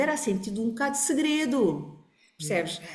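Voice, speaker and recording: The pitch swings very widely at a fairly quick pace. Room echo can be heard. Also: woman. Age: 60s. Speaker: family constellation therapist. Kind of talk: podcast interview. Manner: halting.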